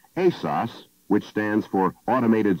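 Against a quiet background, a man speaks at a moderate pace in a dry sound with no echo. His fairly low pitch has a dark, mellow tone and lively intonation. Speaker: film narrator. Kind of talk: instructional narration.

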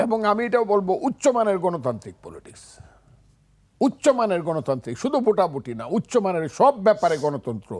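Here a man speaks at a high pitch. His voice makes very wide pitch swings. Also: big swings in loudness. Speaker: war veteran and politician. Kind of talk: talk show interview.

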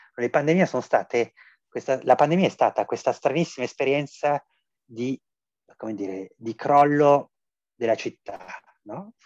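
A man talks at a fairly slow pace and medium pitch, with long, frequent pauses, big swings in loudness and ordinary pitch variation. The sound is dry with no echo, over a quiet background. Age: 40s. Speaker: philosophy professor. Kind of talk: interview. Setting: video call. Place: home room. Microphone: video call.

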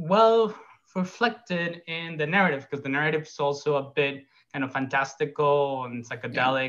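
A man speaks with ordinary pitch variation. The background is quiet. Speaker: animator and filmmaker. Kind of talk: panel Q&A. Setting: video call. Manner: casual, laughs easily. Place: home room. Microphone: video call.

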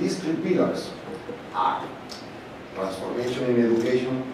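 At a moderate pace and medium pitch, a man with a Spanish accent speaks through strong room echo and noticeable background noise. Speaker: professor and conference chair. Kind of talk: opening speech. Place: hall. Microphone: podium.

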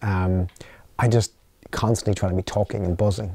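With an Irish accent, a man talks in fairly even intonation against a quiet background, the sound dry with no echo. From Ireland. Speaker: company founder and CEO; interviewee. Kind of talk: interview. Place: studio.

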